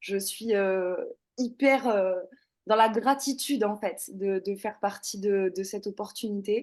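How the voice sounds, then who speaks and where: Against a quiet background, a woman with a fairly high pitch speaks at a fairly slow pace with fairly even intonation. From southern France, Toulouse. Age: 30s. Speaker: former social worker, network marketing member. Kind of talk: testimony. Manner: hesitant, many fillers.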